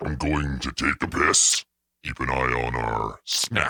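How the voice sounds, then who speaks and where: A put-on character voice from a man, very deep and low in pitch, at a fairly slow pace. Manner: gruff, casual.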